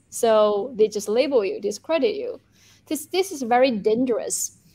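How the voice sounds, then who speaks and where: Speaking fairly slowly with a Chinese accent, a woman uses a high pitch that swings very widely. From China. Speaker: journalist and YouTuber. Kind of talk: interview discussion. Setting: video call from Beijing.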